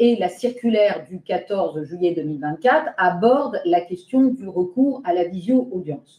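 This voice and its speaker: Fairly slow pace with hardly any pauses. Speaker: lawyer presenting a bar council webinar. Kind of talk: webinar presentation.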